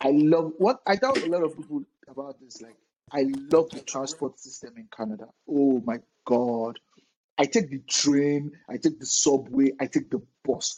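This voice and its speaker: A man with a Nigerian accent, fairly high in pitch, at a moderate pace, with ordinary pitch variation and big swings in loudness. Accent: Nigerian (Yoruba) English. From Nigeria (Lagos). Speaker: podcast host. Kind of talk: casual interview.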